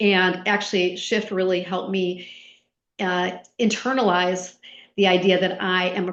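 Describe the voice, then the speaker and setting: The woman's pitch is medium, with ordinary variation. She keeps a moderate pace, and room echo is audible. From US Midwest. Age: 60s. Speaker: retired HR executive and coach. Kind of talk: podcast interview.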